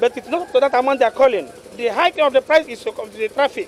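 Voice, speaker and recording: Extremely high in pitch, a man with a Nigerian accent talks at a fairly quick pace with lively intonation, in a dry sound with no echo over light background noise. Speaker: truck owner. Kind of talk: street interview. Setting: outdoors. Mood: aggrieved, complaining. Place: street. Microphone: handheld.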